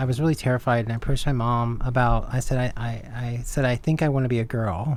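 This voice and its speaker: Speaking at a fairly quick pace, a woman with an American accent has a very deep, low pitch and ordinary pitch variation. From US, Indiana and rural Arkansas. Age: 40s. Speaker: transgender activist. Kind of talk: interview.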